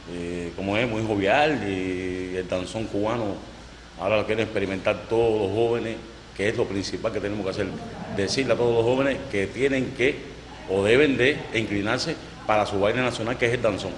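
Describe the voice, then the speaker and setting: A man speaks at a fairly quick pace with fairly low pitch and ordinary pitch variation. Audible room echo and noticeable background noise surround him. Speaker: singer in orchestra. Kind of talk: interview.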